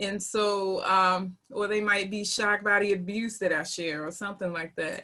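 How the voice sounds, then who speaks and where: A woman's medium-pitched voice with fairly even intonation, in a slight Southern US accent. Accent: slight Southern twang. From North Carolina. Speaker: teacher. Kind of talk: panel discussion.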